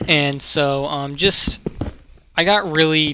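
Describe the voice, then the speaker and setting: Noticeable background noise around a man's fairly high voice. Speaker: gaming YouTuber. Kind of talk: casual talk to camera.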